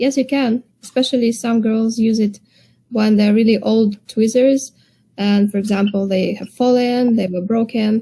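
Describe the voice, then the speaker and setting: A woman's somewhat breathy, dark, mellow voice at a fairly high pitch, with a non-native accent, fairly even intonation and a moderate pace. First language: not English. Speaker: eyelash extension technician and tweezer seller. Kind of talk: livestream chat.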